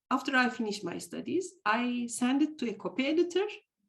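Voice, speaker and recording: A high-pitched woman with a Turkish accent. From Turkey. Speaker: theatre scholar, university faculty member. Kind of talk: interview. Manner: halting.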